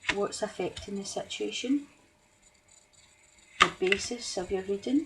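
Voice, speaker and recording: A woman at a fairly slow pace amid noticeable background noise. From Scotland. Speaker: tarot reader. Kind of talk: tarot reading to camera. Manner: deliberately slowed speech; hesitant, many ums.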